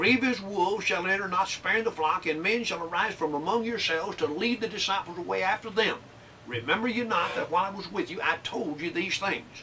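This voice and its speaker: Against light background noise, a man speaks in a raised, projected voice at a fairly quick pace with ordinary pitch variation. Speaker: preacher. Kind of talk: sermon. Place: classroom.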